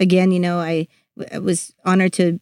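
A woman speaks at a moderate pace with a fairly low pitch. The sound is dry and close with no echo. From Hawaii, Honolulu. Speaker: marketing executive. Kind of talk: casual chat.

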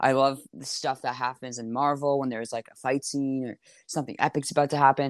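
A very fast, animated delivery with a Canadian accent, on a very clean recording with a silent background. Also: man, medium pitch for a man, big swings in loudness, dry, close sound with no echo. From Canada. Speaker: pop singer. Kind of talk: casual interview chat.

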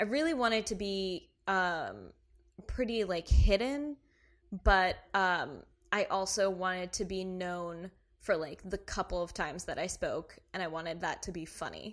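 Over a quiet background, a woman speaks at a medium pitch and a fairly slow pace. She has an unremarkable speaking voice with ordinary pitch variation. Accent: American. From US South, Kentucky. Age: 20s. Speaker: comedy writer. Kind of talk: casual chat.

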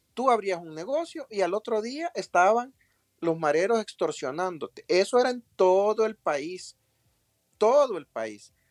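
With music in the background and a dry, close sound with no echo, a man with a Salvadoran accent speaks at a fairly slow pace in a high pitch, his intonation lively. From El Salvador. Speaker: politician. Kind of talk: interview.

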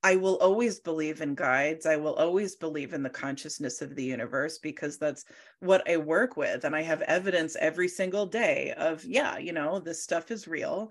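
At a moderate pace and with hardly any pauses, a woman with a plain, everyday voice speaks at a fairly low pitch with ordinary pitch variation over a quiet background. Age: 20s. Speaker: psychic medium. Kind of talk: casual chat.

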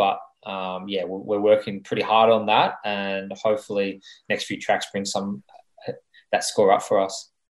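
An Australian accent at a moderate pace on a very clean recording with a silent background. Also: man. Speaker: racing driver. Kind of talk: interview.

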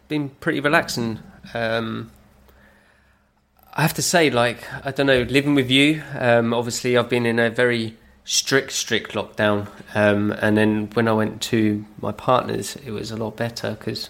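A man's medium-pitched voice with a British accent, at a fairly slow pace with fairly even intonation. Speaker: podcast co-host. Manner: casual, conversational.

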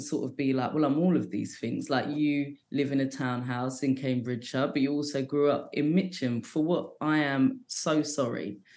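A woman with a London accent, very deep, low pitch and a moderate pace. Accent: London English with some American words. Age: 40s. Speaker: comedian. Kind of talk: casual chat.

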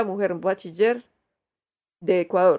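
The speaker has a paisa Colombian accent. The pace is moderate. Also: woman. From Medellín, Colombia. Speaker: podcast co-host. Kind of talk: casual chat.

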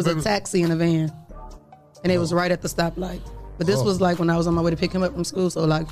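Speaking very fast yet with long, frequent pauses, a woman holds a fairly low pitch in a monotone, flat intonation at very even loudness while music plays in the background. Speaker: radio show co-host.

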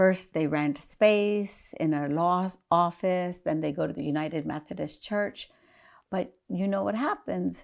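A woman with an American accent has a plain, everyday voice, fairly low in pitch, with lively intonation. She talks at a fairly slow pace on a very clean recording with a silent background. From US, New Jersey and West Virginia. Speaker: journalist and activist. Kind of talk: interview. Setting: in the host's home.

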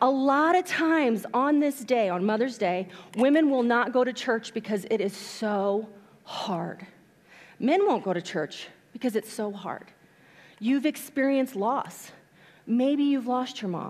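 Speaking at a fairly slow pace, a woman with a fairly high pitch sounds energetic and animated, her intonation lively. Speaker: pastor. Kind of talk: sermon. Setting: church. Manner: loud, animated; informal, energetic.

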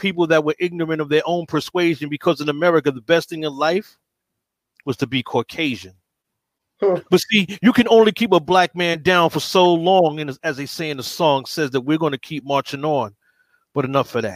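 A man talks at a fairly quick pace in a plain, everyday voice, his pitch fairly high with ordinary pitch variation. The recording is very clean with a silent background, and the sound is dry and close with no echo. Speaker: poet. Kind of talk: spoken word poetry performance. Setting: live stream.

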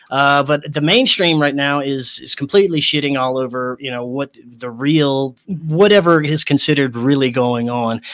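Talking at a moderate pace with hardly any pauses, a man with a fairly high pitch and ordinary pitch variation has a plain, everyday voice. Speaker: podcaster. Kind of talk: casual chat.

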